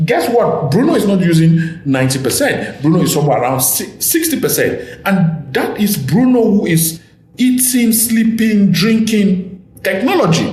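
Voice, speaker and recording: This man has an African accent and a high pitch that moves in very wide swings at a moderate pace. Noticeable background noise and audible room echo fill the recording. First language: an African language. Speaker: podcast host. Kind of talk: casual chat.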